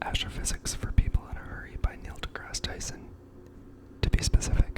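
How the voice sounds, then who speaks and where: A man whispering at a fairly quick pace, with big swings in loudness and noticeable background noise. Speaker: ASMR creator. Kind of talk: casual talk to camera.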